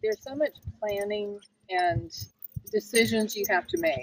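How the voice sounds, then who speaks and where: A woman with an unremarkable speaking voice, fairly high in pitch with ordinary variation, at a moderate pace. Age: 60s. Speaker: full-time RV traveler. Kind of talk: interview.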